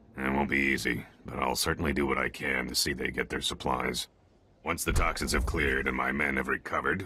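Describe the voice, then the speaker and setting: A man puts on a character voice that is raspy and very deep, low in pitch. He speaks at a fairly quick pace. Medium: video game. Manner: brisk, pragmatic.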